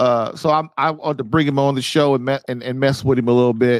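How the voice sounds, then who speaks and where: A man talks at a moderate pace. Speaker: marriage podcast host. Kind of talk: live call-in show chat. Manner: halting.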